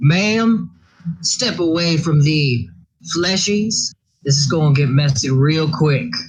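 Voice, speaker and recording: In a put-on character voice with a Southern accent, the speaker sounds gruff at a middle pitch and talks at a fairly slow pace. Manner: stern, gruff.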